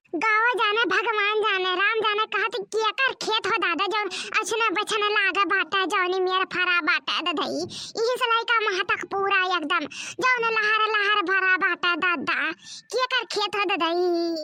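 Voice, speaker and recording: Using a cartoonish character voice, a woman speaks at an extremely high pitch and a fairly slow pace, with fairly even intonation and very even loudness. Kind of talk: cartoon comedy, comic overacting. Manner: melodramatic, exclamatory.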